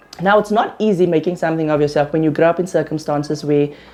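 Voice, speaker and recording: A woman talks over music in the background. Her pitch is very deep and low, with ordinary variation. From South Africa, Kimberley. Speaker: interviewer. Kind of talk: interview.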